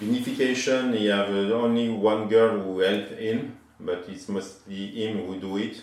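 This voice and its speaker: A man with a French accent speaks at a fairly slow pace in a fairly low voice, his intonation fairly even, with hardly any pauses and audible room echo around him. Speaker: winemaker. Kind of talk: casual chat. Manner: halting.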